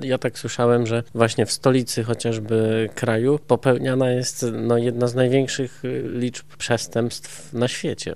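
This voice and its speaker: Hardly pausing, a man talks at a fairly slow pace. His voice sits at a medium pitch with fairly even intonation. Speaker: radio host. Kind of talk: radio interview. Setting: studio.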